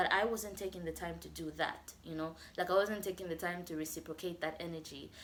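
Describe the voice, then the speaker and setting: Fairly low-pitched with vocal fry, a woman talks at a fairly quick pace in fairly even tones. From Zambia. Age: 20s. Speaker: YouTuber. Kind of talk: casual talk to camera.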